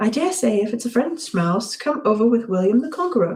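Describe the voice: The clip is plain reading aloud. Nothing else is marked about it.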